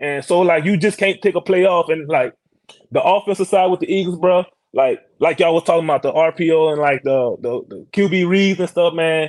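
A Louisiana accent at a fairly quick pace with fairly even intonation. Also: man, high pitch for a man. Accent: Louisiana Southern. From Louisiana (Iberville Parish). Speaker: NFL offensive lineman. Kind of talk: casual interview.

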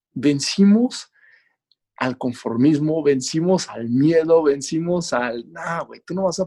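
Recorded with a dry, close sound and no echo, a man with a Mexican accent speaks at a moderate pace and a fairly high pitch. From Mexico. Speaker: Olympic cross-country skier and endurance athlete. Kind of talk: podcast interview.

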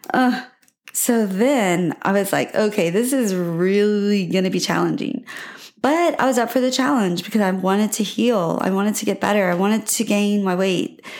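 Using a plain, everyday voice, a woman speaks at a medium pitch and a moderate pace, with ordinary pitch variation and very even loudness. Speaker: podcast host. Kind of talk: solo podcast monologue, personal story. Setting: home recording with microphone. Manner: warm, encouraging, conversational.

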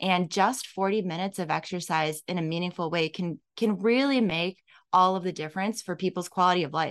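An unremarkable speaking voice moves at a fairly quick pace with ordinary pitch variation. The background is quiet. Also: woman, medium pitch for a woman. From Illinois. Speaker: fitness franchise owner, former teacher. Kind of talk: casual interview.

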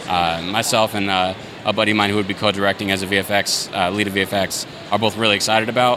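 A man with an American accent at a very fast pace and fairly low pitch, in monotone, flat intonation, with music in the background. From US Southwest, Yuma, Arizona. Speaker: indie filmmaker. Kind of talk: casual interview. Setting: convention floor.

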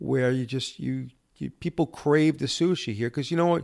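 A man speaks at a medium pitch in a plain, everyday voice. The recording is very clean, with a silent background. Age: 50s. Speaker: bar and cigar lounge owner. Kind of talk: casual chat. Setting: cigar lounge.

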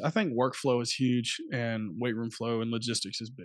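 With an American accent and an ordinary speaking voice, a man talks at a medium pitch and a moderate pace over a quiet background. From US South, Alabama. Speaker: high school strength coach. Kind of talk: podcast interview.

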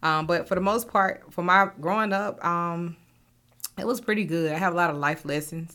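A woman with a normal speaking voice and an American accent talks at a moderate pace, her pitch fairly low with ordinary variation, on a very clean recording with a silent background. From US South, Augusta, Georgia. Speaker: financial services founder. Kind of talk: casual interview chat.

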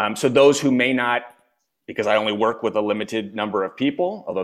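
A man with an American accent talks at a fairly quick pace in medium pitch, an unremarkable speaking voice captured on a very clean recording with a silent background. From US, Philadelphia. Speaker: executive coach and author. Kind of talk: interview.

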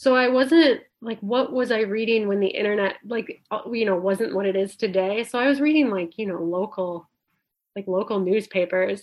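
With an Upper Midwest accent, a woman speaks at a moderate pace in a fairly high pitch with ordinary pitch variation. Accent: Upper Midwest American. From northwestern Wisconsin, small town. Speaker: freelance writer and podcast critic. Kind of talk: casual interview.

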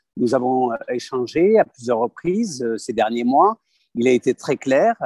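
This man's voice sits at a medium pitch, with lively intonation and a fairly slow pace. The sound is dry and close, with no echo. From southern France (Aveyron). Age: 30s. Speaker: parliamentary candidate. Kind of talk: interview. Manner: hesitant, with filler words.

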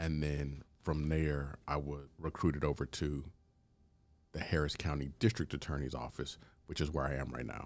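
With an American accent, a man talks at a moderate pace in a very deep, low pitch and fairly even intonation. The recording is very clean, with a silent background. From Houston, Texas. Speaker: prosecutor. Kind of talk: casual chat.

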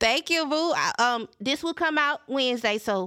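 A woman with a Southern US accent, fairly quick pace and lively intonation. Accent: Southern US, country. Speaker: podcast host. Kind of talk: solo podcast monologue. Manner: casual, candid, emotional.

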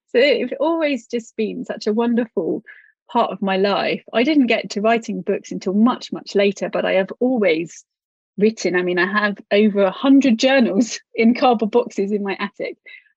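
In a British accent, a woman with a fairly high pitch talks at a moderate pace with ordinary pitch variation, in a dry, close sound with no echo. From UK. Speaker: author and writing teacher. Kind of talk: interview.

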